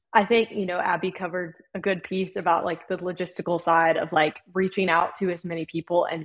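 This woman has a plain, everyday voice, pitched fairly low, with fairly even intonation at a moderate pace. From North Carolina (Winston-Salem). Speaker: college hockey club president. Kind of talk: casual interview.

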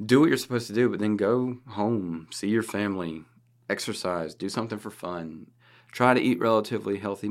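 Recorded very cleanly against a silent background, a man with a plain, everyday voice talks at a fairly quick pace with ordinary pitch variation. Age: 30s. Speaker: cybersecurity podcast host. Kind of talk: casual chat.

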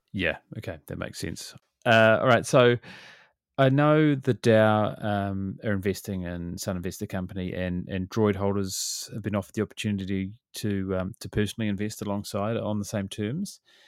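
Recorded very cleanly over a silent background, a man with a New Zealand accent speaks at a fairly low pitch with ordinary pitch variation. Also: moderate pace. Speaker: podcast host. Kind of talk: interview. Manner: casual, laughing.

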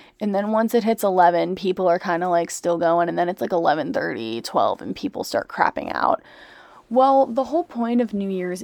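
Recorded with a dry, close sound with no echo and a quiet background, a woman with an unremarkable speaking voice talks at a medium pitch with lively intonation. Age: young. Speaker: college student podcaster. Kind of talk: casual chat. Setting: bedroom, laptop mic, late at night. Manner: soft-spoken.

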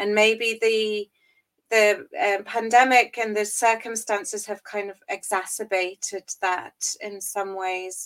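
Speaking very slowly with an English accent, a woman uses a fairly high pitch and fairly even intonation, her loudness swinging widely in a dry, close sound with no echo. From England. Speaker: university lecturer. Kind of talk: interview.

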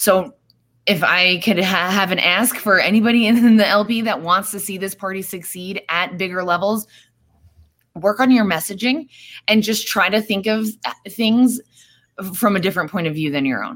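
A woman with an American accent speaks at a moderate pace and medium pitch, with ordinary pitch variation and long, frequent pauses. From New York. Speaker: political party officer. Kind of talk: casual chat.

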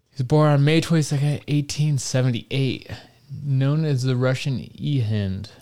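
A man with an American accent speaks at a moderate pace and medium pitch, his dark, mellow tone holding very even loudness and ordinary pitch variation. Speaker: podcast co-host. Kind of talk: casual chat. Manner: halting, uses many filler words.

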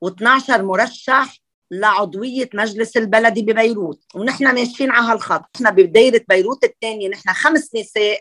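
A woman talks at a fairly slow pace with hardly any pauses, her tone bright and sharp. The sound is dry and close, with no echo. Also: ordinary pitch variation. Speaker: architect and parliamentary candidate. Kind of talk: interview.

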